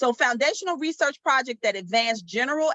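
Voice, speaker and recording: Here is an ordinary speaking voice from a woman. She uses lively intonation at a moderate pace. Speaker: math education professor leading workshop. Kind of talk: online workshop presentation. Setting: video call.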